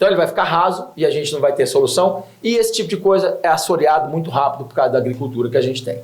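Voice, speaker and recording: With audible room echo around him, a man with a high pitch races at a very fast pace, hardly pausing, his intonation lively. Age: 60s. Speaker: environmental project founder. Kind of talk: TV interview.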